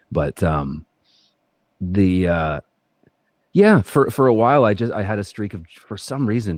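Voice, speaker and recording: Over a quiet background, a man speaks at a moderate pace with fairly low pitch and lively intonation, the sound dry and close with no echo. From Canada. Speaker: actor. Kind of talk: podcast interview. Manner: halting, many fillers and restarts.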